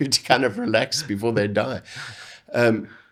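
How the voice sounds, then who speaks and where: Ordinary pitch variation over a medium male pitch. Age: 60s. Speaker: retired fruit industry research manager. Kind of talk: interview. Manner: halting.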